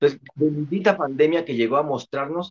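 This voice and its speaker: Animated in tone, a man speaks at a fairly high pitch. His pace is moderate, with ordinary pitch variation. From Mexico City. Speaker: motivational speaker. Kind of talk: casual interview chat. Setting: video call. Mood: cheerful, joking. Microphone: video call.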